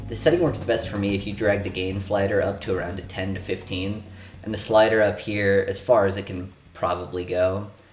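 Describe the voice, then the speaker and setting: A man with a fairly low pitch speaks in a flat monotone at a fairly quick pace, with audible room echo and music in the background. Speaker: podcast tutorial youtuber. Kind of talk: tutorial. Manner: casual, sarcastic.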